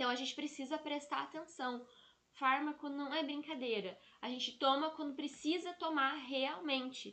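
Speaking at a moderate pace, a woman uses a high pitch and an animated tone. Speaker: aromatherapy educator. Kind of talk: live stream class. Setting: live stream on Instagram and YouTube.

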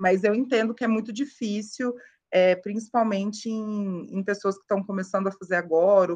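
A woman's medium-pitched, unremarkable speaking voice, with ordinary pitch variation and a moderate pace. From Minas Gerais interior, Brazil. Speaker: sales enablement professional. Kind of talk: podcast interview.

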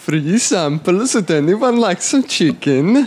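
A man's put-on character voice, high in pitch and fairly slow in pace. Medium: actual play. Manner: chirpy, salesman-like.

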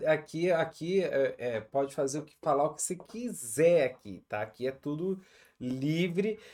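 A man with a fairly high pitch talks at a fairly slow pace in an animated tone, his intonation lively and his loudness swinging widely. The recording is very clean with a silent background. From Brazil, Rio Grande do Sul. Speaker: podcast host, chemistry teacher. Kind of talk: casual interview.

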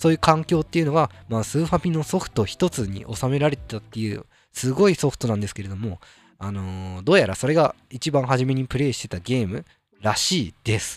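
The speech moves at a fairly quick pace with very wide pitch swings, on a very clean recording with a silent background. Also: man, medium pitch for a man. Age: 30s. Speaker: solo gaming podcast host. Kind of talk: casual solo monologue. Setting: solo podcast recording. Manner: hesitant, many fillers.

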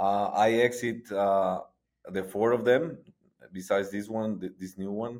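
A fairly slow, fairly even delivery in a Spanish accent. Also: man, fairly low pitch for a man, very clean recording, silent background. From Guatemala. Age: 40s. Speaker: athlete and sports entrepreneur. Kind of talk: interview. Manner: halting, many repetitions.

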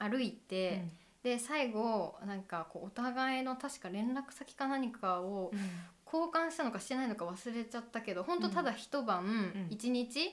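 A woman with a normal speaking voice, fairly high pitch and lively intonation. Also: moderate pace. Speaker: podcast co-host, musician. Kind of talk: casual chat. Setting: video-recorded studio chat.

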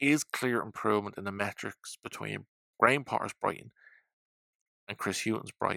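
Here a man talks at a fairly quick pace with an Irish accent, a bright, sharp tone and ordinary pitch variation. The recording is very clean, with a silent background and a dry, close sound with no echo. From Ireland. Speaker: football podcast host. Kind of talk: solo podcast monologue.

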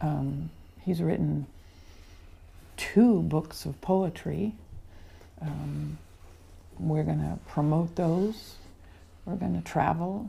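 Long pauses come often as a woman speaks very slowly. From Los Angeles, born in Argentina. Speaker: guest, craftsman's wife and business partner. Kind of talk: casual interview.

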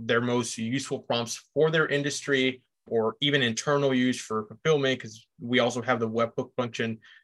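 A man with a plain, everyday voice speaks at a moderate pace and a medium pitch, his intonation fairly even. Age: 20s. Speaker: software entrepreneur. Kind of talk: casual interview.

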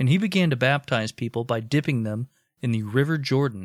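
A man with an American accent, medium-pitched, playful and animated, at a fairly quick pace, in a very clean, silent recording with a dry, close sound and no echo. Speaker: podcast host. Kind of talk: casual chat, history storytelling with jokes. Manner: playful, animated, jokey.

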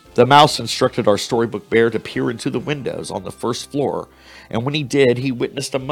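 Someone is reading aloud in a natural voice.

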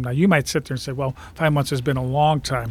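A man talks with a fairly high pitch and fairly even intonation. He has a normal speaking voice. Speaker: radio host and minister. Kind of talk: radio interview.

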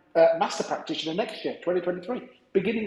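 A man with a high voice talks at a fairly quick pace, with ordinary pitch variation over noticeable background noise. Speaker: podcast host, business coach. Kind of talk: interview. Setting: glass booth in remote working center. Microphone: echoey sound.

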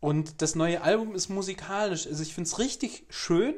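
The man's voice sits high in pitch. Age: 30s. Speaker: podcast co-host. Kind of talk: casual chat.

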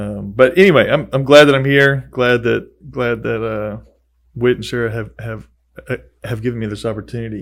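A plain, everyday voice from a man, moderate in pace and medium in pitch, with ordinary pitch variation. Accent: American. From Texas, Gulf Coast. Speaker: podcast host. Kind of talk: casual chat.

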